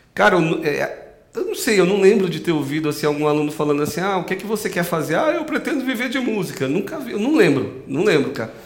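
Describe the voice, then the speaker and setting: Very fast and with hardly any pauses, a man talks at a high pitch with very wide pitch swings. Audible room echo and noticeable background noise fill the recording. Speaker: podcast host; music teacher. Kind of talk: casual chat.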